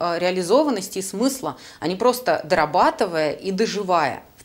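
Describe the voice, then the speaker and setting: With very wide pitch swings and a moderate pace, a woman talks while noticeable background noise carries on. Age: 30s. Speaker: career coach and podcast host. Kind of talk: solo podcast monologue.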